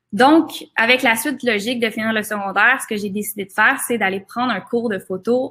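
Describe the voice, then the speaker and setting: In a Quebec accent, a woman speaks at a fairly high pitch in a bright, sharp tone with ordinary pitch variation, on a very clean recording with a silent background. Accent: Québécois French. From Quebec, Laurentides. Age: 20s. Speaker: photographer. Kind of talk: seminar presentation. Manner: hesitant, many fillers.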